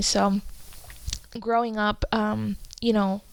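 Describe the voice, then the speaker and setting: A woman speaks over noticeable background noise. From Peru, Andes; childhood partly in California. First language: Spanish and Quechua. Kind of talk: casual podcast conversation.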